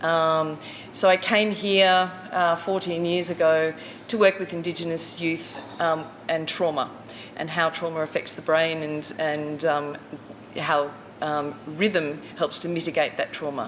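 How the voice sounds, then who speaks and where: Noticeable background noise sits behind a woman with an Australian accent. She talks fairly slowly at a fairly low pitch. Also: fairly even intonation. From Queensland, Australia. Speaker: community storyteller, drumming facilitator. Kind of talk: personal life story talk. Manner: halting, many fillers.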